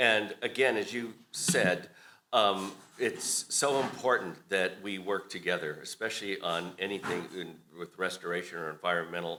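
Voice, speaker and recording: Speaking at a fairly slow pace, a man with a very deep, low voice has a bright, sharp tone and ordinary pitch variation. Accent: American. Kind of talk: public address.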